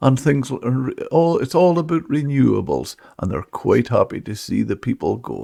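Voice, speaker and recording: A man talks at a moderate pace in a northern Scottish accent. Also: hardly any pauses. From Scotland, Caithness/Sutherland. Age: 70s. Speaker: podcast host, veteran of the fishing industry. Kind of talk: podcast interview. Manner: halting.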